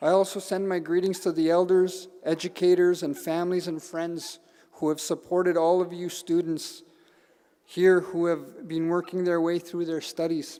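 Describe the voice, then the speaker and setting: A man speaks with a Canadian accent in a high pitch. His intonation stays flat and monotone. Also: moderate pace. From northern Manitoba, Canada. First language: Cree. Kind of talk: ceremonial speech. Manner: halting.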